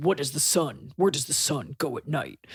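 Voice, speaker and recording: A man's raspy, put-on character voice, fairly high in pitch, with ordinary pitch variation at a moderate pace. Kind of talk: stylized dance-track vocal.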